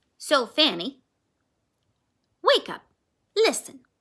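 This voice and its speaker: A woman puts on a character voice, pitched high. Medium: read story. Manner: gentle, slightly formal.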